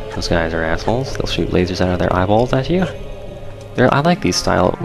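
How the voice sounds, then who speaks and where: A man whispers quietly at a fairly quick pace. Music plays in the background. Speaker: let's play gamer. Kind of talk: casual gameplay commentary. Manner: near-whisper, quiet.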